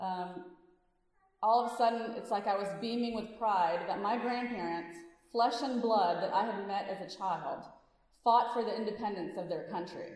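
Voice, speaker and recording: Audible room echo surrounds a woman speaking at a medium pitch and moderate pace with ordinary pitch variation. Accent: Louisiana. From Louisiana, US South. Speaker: physician and activist speaker. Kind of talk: speech to a congregation. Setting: church service with audience. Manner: animated.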